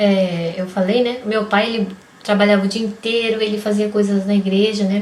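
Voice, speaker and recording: The delivery is monotone and flat, at a moderate pace. Noticeable background noise can be heard. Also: woman, medium pitch for a woman. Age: 30s. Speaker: vlogger. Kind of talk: personal vlog testimony. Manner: casual.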